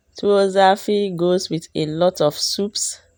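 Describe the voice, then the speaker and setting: A woman speaks with fairly even intonation. The recording is very clean, and the background is silent. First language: Dagbani. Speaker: cooking vlogger. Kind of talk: cooking tutorial.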